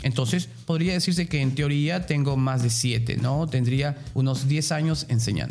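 This man's voice is fairly high and somewhat breathy, with ordinary pitch variation. He barely pauses, and the room echo is audible. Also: moderate pace, very even loudness. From Peruvian provinces. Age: 30s. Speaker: tourism lecturer. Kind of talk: interview.

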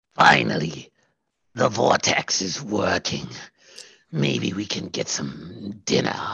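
Using a put-on character voice, a man speaks raspily at a very deep, low pitch and a fairly slow pace, with long, frequent pauses. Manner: prim, disdainful.

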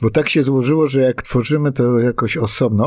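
The man's voice has a dark, mellow tone and moves at a moderate pace. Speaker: songwriter and playwright. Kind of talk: casual interview. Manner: halting, with repetitions.

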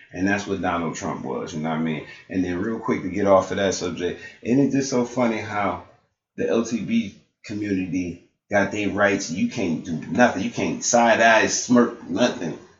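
A man's fairly low-pitched voice with an American accent, ordinary pitch variation and a moderate pace, in audible room echo. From Buffalo, New York. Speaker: podcast host. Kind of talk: casual interview. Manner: animated.

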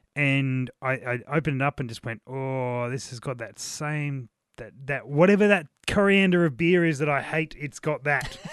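Recorded dry and close with no echo, a man with an Australian accent and a fairly high pitch talks at a moderate pace, with ordinary pitch variation and big swings in loudness. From South Australia. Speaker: podcast co-host, beer reviewer. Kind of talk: casual chat.

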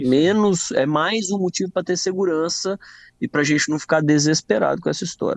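A man with a high pitch speaks at a fairly quick pace, and the sound is dry and close with no echo. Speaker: medical doctor. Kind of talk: radio health Q&A.

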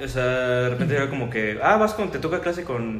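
With a Querétaro accent and lively intonation, a man speaks at a medium pitch amid audible room echo and noticeable background noise. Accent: Querétaro Mexican Spanish. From Mexico, Querétaro. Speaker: podcast host. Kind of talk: casual chat.

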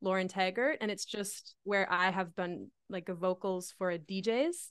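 Against a quiet background, a woman with a Canadian accent uses a normal speaking voice at a medium pitch. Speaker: singer-songwriter. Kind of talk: casual chat. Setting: home studio.

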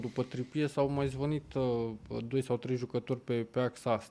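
A man with a normal speaking voice talks at a moderate pace. His intonation is fairly even, and the recording is very clean with a silent background. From southern Romania. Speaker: football pundit. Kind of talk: casual chat.

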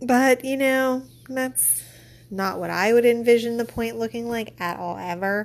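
With a normal speaking voice, a woman talks at a fairly slow pace, her fairly high pitch held in fairly even intonation. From Pittsburgh, US. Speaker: podcast host, librarian. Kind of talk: casual book review monologue.

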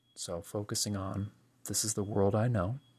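Over a quiet background, a man with an American accent talks at a fairly low pitch in a monotone, flat intonation. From US, Pennsylvania. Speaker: podcast host. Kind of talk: solo monologue reflection.

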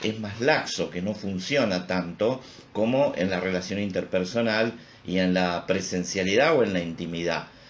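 A man with a Rioplatense accent speaks slowly in a fairly low voice, with audible room echo. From Río de la Plata region. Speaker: psychologist. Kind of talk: casual chat.

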